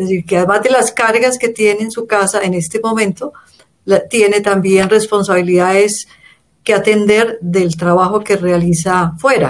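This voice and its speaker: Using an unremarkable speaking voice, a woman speaks at medium pitch and a moderate pace with fairly even intonation. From Colombia. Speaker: feminist organization director. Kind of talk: interview.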